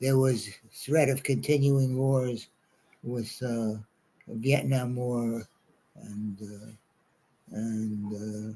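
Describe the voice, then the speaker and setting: Speaking very slowly with long, frequent pauses, a man in a New York accent uses a medium pitch, ordinary pitch variation and a dark, mellow tone. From New York City, Brooklyn. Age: 90s. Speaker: congregation elder sharing life reflections. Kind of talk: talk to a congregation. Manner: halting, many fillers.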